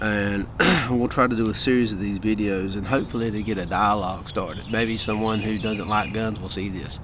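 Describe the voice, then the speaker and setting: A man speaks fairly quickly in an American accent, with a fairly low pitch, fairly even intonation and hardly any pauses. Audible room echo and noticeable background noise surround his voice. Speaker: gun video vlogger. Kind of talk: casual vlog monologue. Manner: folksy, conversational.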